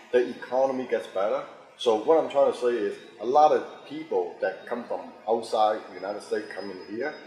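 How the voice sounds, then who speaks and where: A man talks at a fairly quick pace, with noticeable background noise present. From Hong Kong, raised in Boston. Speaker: actor, director, fight choreographer. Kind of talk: interview answer.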